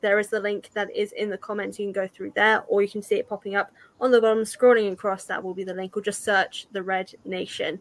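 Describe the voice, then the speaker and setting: A woman speaks in a British accent at a medium pitch. Her intonation is monotone and flat. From UK. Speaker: YouTuber hosting a charity watch-along stream. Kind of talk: casual group movie commentary; charity fundraising appeal. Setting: online live stream call.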